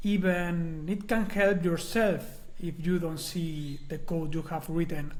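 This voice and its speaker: In a Spanish accent, a man speaks at high pitch with audible room echo. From Spain. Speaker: software documentation consultant, conference speaker. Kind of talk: conference talk. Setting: recorded online webinar.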